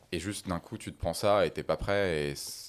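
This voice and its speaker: A male voice, fairly quick in pace, on a very clean recording over a silent background. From France, Paris. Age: 20s. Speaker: climate activist. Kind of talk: casual interview.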